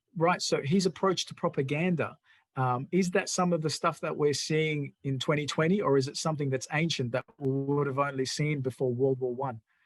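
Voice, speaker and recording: Music plays in the background as the speech moves at a fairly quick pace with hardly any pauses. Pitch variation is ordinary. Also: man, fairly high pitch for a man. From immigrant to Australia. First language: not English (English is third language). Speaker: political party show host. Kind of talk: interview chat.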